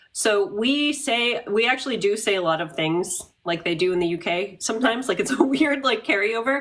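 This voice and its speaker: A fairly high-pitched woman's voice, lively and fairly quick, with hardly any pauses, over noticeable background noise. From New England, US. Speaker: live-stream Q&A participant. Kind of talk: casual chat.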